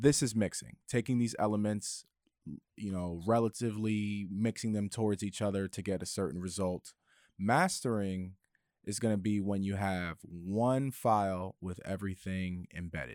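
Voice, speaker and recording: A man with a plain, everyday voice and fairly low pitch talks at a moderate pace with ordinary pitch variation on a very clean recording with a silent background. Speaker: audio engineer and podcast editor. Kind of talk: casual tutorial conversation.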